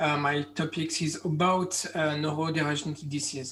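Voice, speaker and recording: On a very clean recording with a silent background, a man with a French accent speaks fairly slowly in a fairly high, monotone, flat voice. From France. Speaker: medical doctor. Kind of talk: conference talk. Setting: virtual conference. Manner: halting, many fillers.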